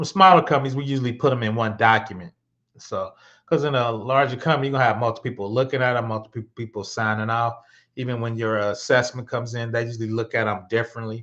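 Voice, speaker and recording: At a very fast pace, a man talks at medium pitch against a quiet background. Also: fairly even intonation. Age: 50s. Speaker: cybersecurity instructor. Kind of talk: live-streamed tutorial. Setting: live stream. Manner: casual, conversational.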